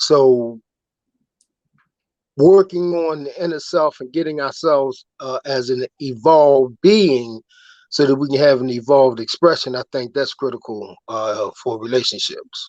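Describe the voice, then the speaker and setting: The speech moves at a fairly slow pace with ordinary pitch variation against a quiet background. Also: man, fairly high pitch for a man. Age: 60s. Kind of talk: casual chat. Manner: halting.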